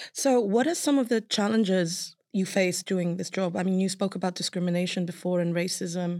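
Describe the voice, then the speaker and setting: This woman has a plain, everyday voice at a medium pitch, moving at a moderate pace with fairly even intonation. The sound is dry and close, with no echo. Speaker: podcast host. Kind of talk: casual interview.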